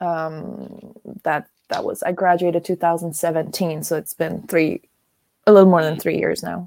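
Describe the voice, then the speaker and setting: Her voice dark and mellow with vocal fry, a woman speaks at a fairly slow pace in a fairly low pitch with fairly even intonation, the sound dry and close with no echo. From Germany. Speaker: podcast co-host. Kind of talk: casual chat.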